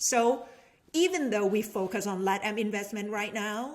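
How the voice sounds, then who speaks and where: A woman with a Thai accent speaks at a medium pitch. Her pace is moderate and her pitch variation ordinary. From Thailand, Bangkok. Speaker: venture capitalist and business professor. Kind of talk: casual chat.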